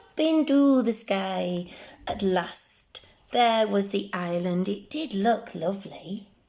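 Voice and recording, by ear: Lively intonation runs through this clip. It is someone reading aloud in a natural voice.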